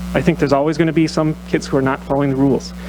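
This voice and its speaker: A man talking at a very fast pace over background music. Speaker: physician speaking at public comment. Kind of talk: public comment speech. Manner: loud.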